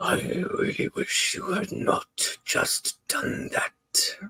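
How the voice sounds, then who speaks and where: A man's put-on character voice, growling and very slow. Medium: actual play. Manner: theatrical.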